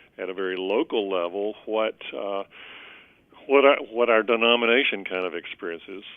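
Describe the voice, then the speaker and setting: In a Southern US accent, the speaker talks at a moderate pace with big swings in loudness and ordinary pitch variation. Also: man, fairly low pitch for a man. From US South, Columbus, Georgia. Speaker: bishop. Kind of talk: interview. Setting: podcast. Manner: halting, many fillers.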